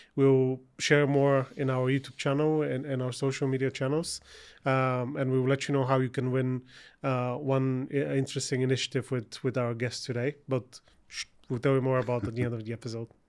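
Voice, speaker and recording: A man speaks fairly quickly in a Bulgarian accent, his medium pitch held in a monotone, flat intonation. The recording is very clean, with a silent background. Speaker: podcast host. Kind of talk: interview podcast.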